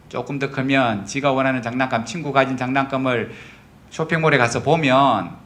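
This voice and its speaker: Here a man speaks with a fairly high pitch and a bright, sharp tone. An audible room echo surrounds his voice. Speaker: pastor. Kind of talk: sermon. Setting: church. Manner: conversational, frequent tag questions.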